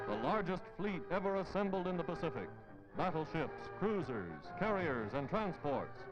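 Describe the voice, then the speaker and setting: A man with a high-pitched voice talks at a moderate pace with lively intonation while music plays in the background. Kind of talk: newsreel narration.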